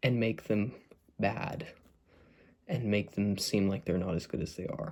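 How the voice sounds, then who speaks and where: A soft-spoken man. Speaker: mental health vlogger. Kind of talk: casual talk to camera. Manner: soft-spoken, getting quieter; hesitant, many fillers.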